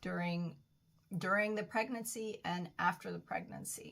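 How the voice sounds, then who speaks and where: Here a woman is talking. Her pitch moves with ordinary variation. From Bolivia. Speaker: wellbeing coach, yoga and massage practitioner. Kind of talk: personal story monologue.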